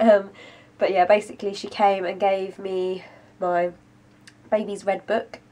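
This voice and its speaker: A woman with a British accent speaks at medium pitch and a moderate pace, in monotone, flat intonation with long, frequent pauses. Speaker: vlogger. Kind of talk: casual vlog update.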